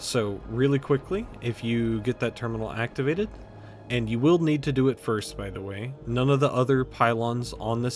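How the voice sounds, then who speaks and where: A man talks at a moderate pace. Background noise is noticeable throughout. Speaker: video game tutorial creator. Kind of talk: tutorial. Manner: quiet; speaking up loudly.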